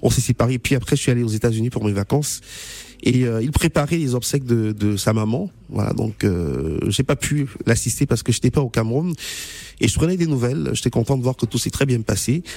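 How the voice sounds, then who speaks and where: Here a man at medium pitch speaks with lively intonation and a fairly quick pace. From Cameroon. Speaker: journalist. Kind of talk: radio interview.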